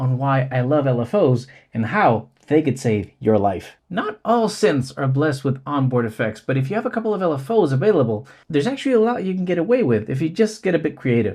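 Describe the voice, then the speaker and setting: A man's fairly high, somewhat breathy voice at a fairly quick pace, with very wide swings in pitch. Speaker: synth YouTuber. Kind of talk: tutorial.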